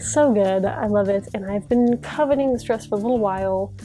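Faint music plays in the background. A woman speaks with ordinary pitch variation. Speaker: sewing vlogger. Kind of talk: casual vlog chat. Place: home room. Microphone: lapel.

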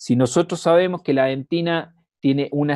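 A man with a Chilean accent and a fairly high pitch. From Chile, Constitución. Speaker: dentist and university lecturer. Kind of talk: lecture. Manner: hesitant with many fillers.

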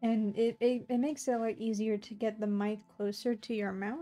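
A soft-spoken woman with a fairly high pitch, a fairly quick pace and monotone, flat intonation, with music in the background. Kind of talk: casual chat.

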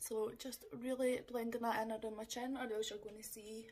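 With a Scottish accent, a woman speaks at a moderate pace in a fairly high pitch, somewhat breathy and with monotone, flat intonation. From Scotland. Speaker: makeup vlogger. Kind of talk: tutorial. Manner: casual, chatty. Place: home room. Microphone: phone near.

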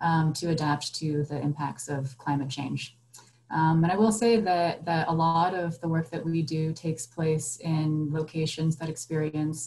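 A woman speaks at a fairly slow pace in a very deep, low voice with ordinary pitch variation. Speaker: panelist. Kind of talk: panel discussion answer. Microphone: video call.

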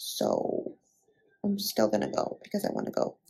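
A woman whispering. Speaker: lifestyle vlogger. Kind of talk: casual vlog. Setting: clinic.

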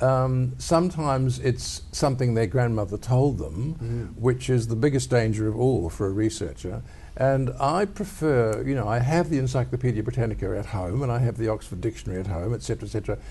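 A man with a dark, mellow, somewhat breathy tone talks with ordinary pitch variation. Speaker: interviewee. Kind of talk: interview answer. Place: studio. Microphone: lapel.

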